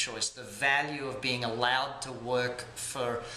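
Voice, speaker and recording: With an Australian accent, a man of medium pitch speaks at a fairly slow pace amid noticeable background noise and audible room echo. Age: 40s. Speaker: entrepreneur, business coach founder. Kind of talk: interview monologue.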